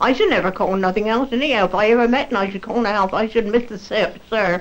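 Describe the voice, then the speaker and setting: Very fast, fairly high-pitched female speech with ordinary pitch variation, over noticeable background noise. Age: 80s+. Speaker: former landlady. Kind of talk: interview reminiscence.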